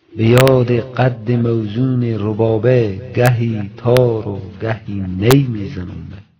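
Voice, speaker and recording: Music plays behind a man who speaks very slowly, with hardly any pauses, at a medium pitch. His loudness swings widely while his intonation stays fairly even. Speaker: poetry reciter. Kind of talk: poetry reading.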